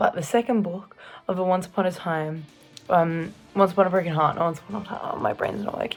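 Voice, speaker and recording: A woman with an Australian accent, very fast delivery, fairly even intonation and a medium pitch, over background music. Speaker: book vlogger. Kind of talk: casual vlog.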